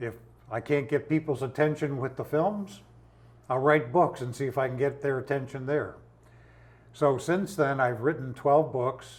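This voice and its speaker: The voice is somewhat breathy. Long, frequent pauses break up the speech. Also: man, fairly high pitch for a man, ordinary pitch variation, moderate pace. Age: 80s+. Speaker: indie filmmaker and self-published author. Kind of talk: interview. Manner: halting.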